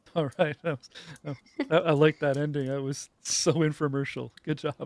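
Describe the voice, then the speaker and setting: With a Canadian accent, a man talks at a moderate pace in a fairly high, flat monotone, his loudness swinging widely in a dry, close recording with no echo. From Canada. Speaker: YouTube host. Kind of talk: casual panel chat. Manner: hesitant, many fillers.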